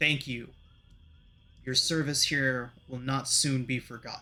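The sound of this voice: A man's guttural, put-on character voice at medium pitch and a fairly slow pace.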